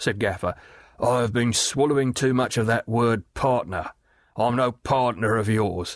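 The intonation holds fairly even. A text is read out in a natural voice.

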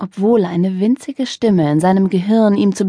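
The speaker reads in a natural voice. The reading continues that way throughout.

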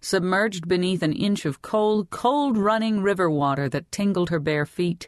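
With a plain, everyday voice at a medium pitch, a woman talks at a moderate pace with ordinary pitch variation, in a dry, close sound with no echo and a quiet background. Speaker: audiobook narrator. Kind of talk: dramatic audiobook narration of historical fiction, reading a girl's inner thoughts. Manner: measured, vividly descriptive storytelling pace; voices the heroine's longing lines with wistful emotion.

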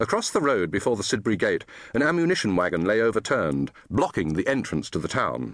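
At a very fast pace, a man with a medium pitch and vocal fry swings his pitch very widely. His loudness stays very even against a quiet background. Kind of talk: scripted audiobook narration of historical fiction. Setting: studio.

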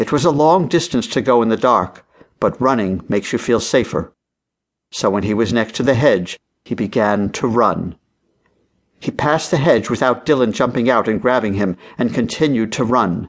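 A man speaking at a moderate pace uses a plain, everyday voice, medium in pitch, and his pitch varies in an ordinary way. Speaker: audiobook narrator. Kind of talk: dramatic audiobook narration of a children's mystery. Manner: suspenseful, hushed and building tension.

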